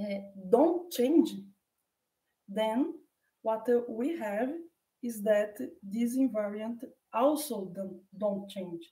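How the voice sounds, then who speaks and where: In a Portuguese accent, a woman with a fairly high pitch and a dark, mellow, somewhat breathy tone speaks at a very slow pace with long, frequent pauses amid audible room echo. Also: lively intonation, big swings in loudness. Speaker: mathematician. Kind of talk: lecture. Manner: halting.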